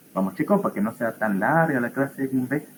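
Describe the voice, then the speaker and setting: Somewhat breathy, a man speaks at a fairly quick pace with very wide pitch swings. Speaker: pathology teaching assistant. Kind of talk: lecture. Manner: animated.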